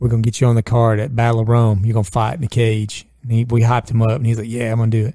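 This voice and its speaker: Very fast, monotone, flat delivery from a man at medium pitch with a dark, mellow tone. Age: 40s. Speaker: podcast host. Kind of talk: casual chat.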